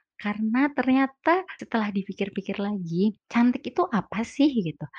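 Somewhat breathy and lively in intonation, a woman speaks at a fairly slow pace in a dry, close sound with no echo and a quiet background. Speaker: podcaster. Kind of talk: casual solo podcast monologue. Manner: chatty, laughs often.

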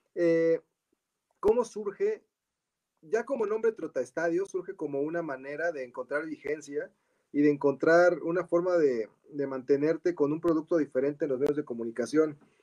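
A fairly high-pitched man's voice with a dark, mellow tone, ordinary pitch variation and a moderate pace, dry and close with no echo. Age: 40s. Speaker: football writer and author. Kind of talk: casual chat.

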